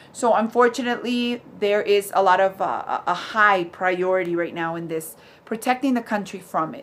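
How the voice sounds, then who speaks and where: Speaking with a Spanish accent, a woman uses a medium pitch with ordinary pitch variation. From Ecuador. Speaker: vlogger and ministry worker. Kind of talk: casual opinion vlog. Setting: at home with dad and dog nearby. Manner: halting, with repeated words and fillers.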